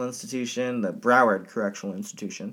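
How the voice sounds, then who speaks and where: On a very clean recording with a silent background, a man speaks in a plain, everyday voice at a medium pitch. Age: 20s. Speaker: podcast host, drag queen. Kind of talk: casual true crime storytelling.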